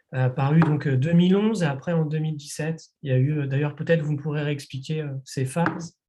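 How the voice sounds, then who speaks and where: Music playing behind a fairly high-pitched male voice at a moderate speed. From France, Nantes. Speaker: publisher. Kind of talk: interview. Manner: hesitant, many fillers.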